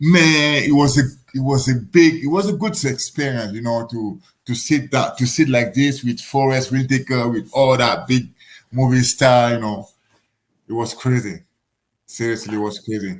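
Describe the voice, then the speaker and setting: At a moderate pace, a man with a non-native accent speaks at medium pitch with ordinary pitch variation. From Africa. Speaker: professional boxer. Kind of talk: casual interview. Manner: halting, repetitive phrasing.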